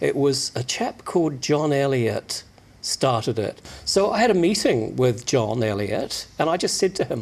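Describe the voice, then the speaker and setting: Here a man speaks at a fairly high pitch. His pitch swings very widely. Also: fairly slow pace. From New Zealand. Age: 60s. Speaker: magazine publisher. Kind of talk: radio interview.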